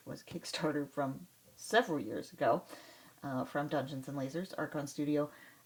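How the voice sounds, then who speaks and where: A woman talks at a moderate pace in a very deep, low voice. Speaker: miniature painter and hobby channel host. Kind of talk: casual talk to camera.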